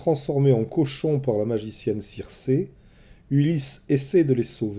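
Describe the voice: A passage of plain reading aloud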